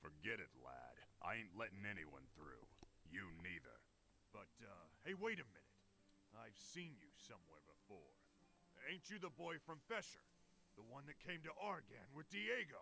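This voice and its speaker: A man speaks in a gruff, put-on character voice at medium pitch, moving at a moderate pace with very wide pitch swings and long, frequent pauses over clear background noise. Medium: video game. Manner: gruff, laughing, colloquial.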